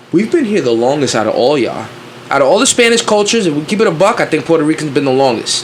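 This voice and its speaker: Against noticeable background noise, a man races along at a very fast pace with a fairly high pitch, very wide pitch swings and very even loudness. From Queens, New York (Flushing). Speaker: podcast host. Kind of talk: casual chat. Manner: animated.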